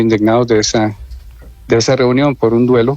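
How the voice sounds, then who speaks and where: A man talks at a medium pitch and moderate pace. His intonation is monotone and flat. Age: 60s. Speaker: abuse survivor. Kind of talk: radio interview testimony. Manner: hesitant, with fillers.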